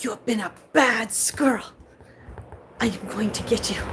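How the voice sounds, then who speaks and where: At a moderate speed, the speaker performs in a put-on character voice. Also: woman, fairly high pitch for a woman. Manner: loud, scolding.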